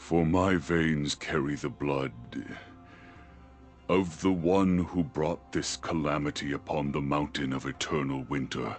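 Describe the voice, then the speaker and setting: A man's put-on character voice, very deep and low, at a fairly slow pace over clear music in the background. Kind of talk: epic fantasy legend narration. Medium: video game. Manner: grave, measured.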